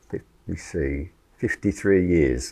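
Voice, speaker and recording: Showing a slight English accent, a man talks with vocal fry and lively intonation in a very deep, low voice. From Sydney, Australia (born in England, emigrated at five). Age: 70s. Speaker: retired engineer, church member. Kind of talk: interview testimony. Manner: hesitant, many fillers.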